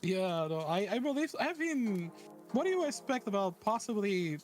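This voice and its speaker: The speaker talks at a moderate pace with a non-native accent. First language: not English. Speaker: vtuber. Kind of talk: casual chat.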